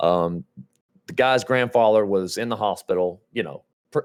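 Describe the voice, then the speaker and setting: A man with a Georgia accent speaks in a fairly low voice. The recording is very clean, with a silent background. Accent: Georgia Southern US. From US South. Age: 30s. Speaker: gaming streamer. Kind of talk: casual chat. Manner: animated.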